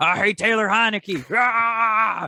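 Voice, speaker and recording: A loud, animated man with a bright, sharp tone, in a dry, close sound with no echo. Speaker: podcast co-host. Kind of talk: casual chat.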